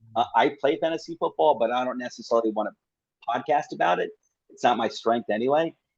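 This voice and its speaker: A man with a normal speaking voice talks at a fairly quick pace and medium pitch with ordinary pitch variation, recorded in a dry, close sound with no echo. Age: 50s. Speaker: football podcaster. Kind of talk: casual chat.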